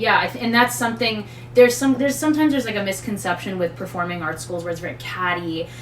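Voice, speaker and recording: A woman with a fairly low pitch speaks very fast with very wide pitch swings, audible room echo, and noticeable background noise. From Montreal, Quebec. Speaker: voice actor. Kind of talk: interview.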